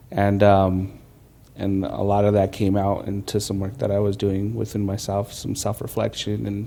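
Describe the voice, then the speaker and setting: Speaking at a moderate pace, the man has a fairly low pitch, a dark, mellow tone and monotone, flat intonation. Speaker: youth leader interviewed at church. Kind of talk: personal testimony interview. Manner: halting, self-correcting.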